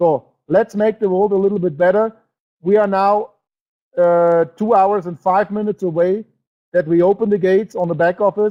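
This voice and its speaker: Speaking with a German accent, a high-pitched man keeps fairly even intonation and a moderate pace. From Germany. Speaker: network marketing presenter. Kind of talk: sales webinar presentation. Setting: online webinar broadcast. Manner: halting, with many fillers; emotional.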